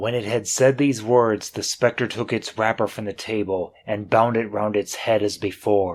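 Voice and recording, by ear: Fairly even intonation, reading aloud in a natural voice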